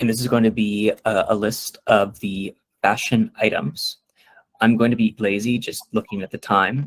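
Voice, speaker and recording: A plain, everyday voice from a man, fairly low in pitch, with a dry, close sound and no echo. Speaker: workshop presenter. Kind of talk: tutorial.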